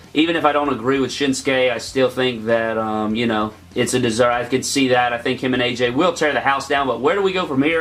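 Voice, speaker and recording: The speech runs at a very fast pace with hardly any pauses and ordinary pitch variation, over noticeable background noise. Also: man. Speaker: wrestling YouTuber. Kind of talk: casual video review.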